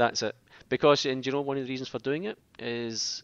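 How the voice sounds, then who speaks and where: With a Scottish accent, a man at a medium pitch speaks at a very fast pace. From Scotland. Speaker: podcast host. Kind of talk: casual chat.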